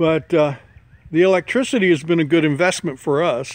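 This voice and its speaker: Relaxed in tone, a man talks at a fairly quick pace with a fairly high pitch and ordinary pitch variation. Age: 60s. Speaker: homesteader. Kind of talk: casual vlog talk. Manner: relaxed, halting with fillers.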